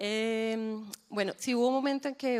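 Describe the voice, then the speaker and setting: Heard in a very clean recording against a silent background, a woman talks. Her voice is fairly high, and its pitch moves in an ordinary way. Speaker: agency executive. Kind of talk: live panel discussion. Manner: soft-spoken.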